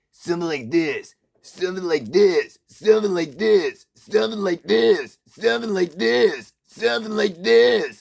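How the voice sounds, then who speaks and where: In a put-on character voice, the speaker sounds nasal and grumpy, with very wide pitch swings at a moderate pace. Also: man, high pitch for a man. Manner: grumpy, lazy.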